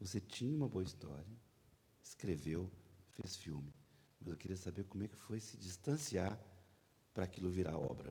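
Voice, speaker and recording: A man with a very deep, low pitch and a dark, mellow tone speaks with lively intonation and a somewhat breathy quality, leaving long, frequent pauses. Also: moderate pace. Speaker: panel moderator. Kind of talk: interview questions on stage.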